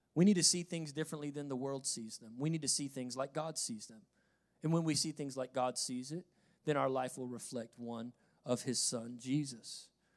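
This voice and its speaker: Big swings in loudness mark this man's fairly high-pitched voice, which has ordinary pitch variation. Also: moderate pace. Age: 30s. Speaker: pastor. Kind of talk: sermon. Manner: animated.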